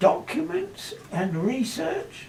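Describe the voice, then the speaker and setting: A man's high-pitched voice at a very slow pace, with very wide pitch swings and noticeable background noise. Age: 80s+. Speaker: corrosion engineer. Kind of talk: reading prepared statement.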